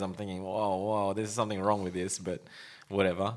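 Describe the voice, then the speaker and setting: A man speaks at a fairly quick pace with fairly low pitch and monotone, flat intonation. The recording is very clean, with a silent background. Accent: Australian. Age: 40s. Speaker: podcast host, brand owner. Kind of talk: casual chat. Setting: studio with microphones.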